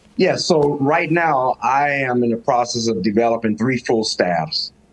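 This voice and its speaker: At a fairly slow pace, a man with medium pitch and lively intonation speaks in an unremarkable speaking voice, his loudness very even. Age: 60s. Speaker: high school football coach. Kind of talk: podcast interview.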